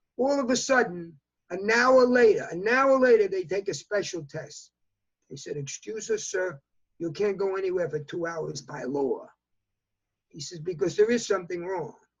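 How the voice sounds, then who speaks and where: Lively intonation with a New York accent. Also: man. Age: 80s+. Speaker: fashion industry consultant. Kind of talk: interview answer.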